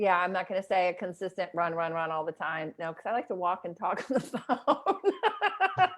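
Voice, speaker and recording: A woman's animated, medium-pitched voice in an American accent, with ordinary pitch variation, a moderate pace, big swings in loudness and hardly any pauses, over a quiet background. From US South, New Orleans. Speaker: mindfulness coach. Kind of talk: interview. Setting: video call.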